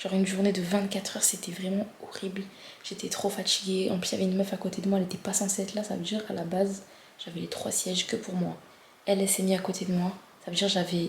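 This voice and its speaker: The woman's pitch is medium. She talks very fast. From France. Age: 20s. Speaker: vlogger. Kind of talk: casual vlog. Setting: at home, before bed. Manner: animated.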